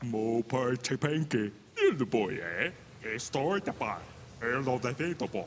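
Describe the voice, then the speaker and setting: Using a put-on character voice at a medium pitch, a man speaks at a fairly slow pace over clear background noise. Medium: video game. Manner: garbled pseudo-foreign babble.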